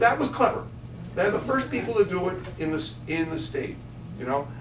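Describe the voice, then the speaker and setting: Speaking at a moderate pace, a man with a fairly high voice uses lively intonation amid audible room echo and noticeable background noise. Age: 60s. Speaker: state elder services official. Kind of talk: public meeting presentation. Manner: halting, with frequent repetitions.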